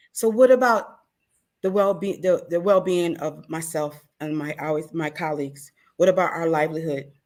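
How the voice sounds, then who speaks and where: In a very clean recording with a silent background, a woman with an ordinary speaking voice speaks at a moderate pace in a fairly low pitch with ordinary pitch variation. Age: 60s. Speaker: food vendor. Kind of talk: interview.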